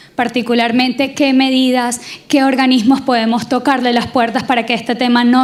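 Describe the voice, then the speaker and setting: In a Venezuelan accent, a woman speaks at a moderate pace with a high pitch. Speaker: audience member. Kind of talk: audience question.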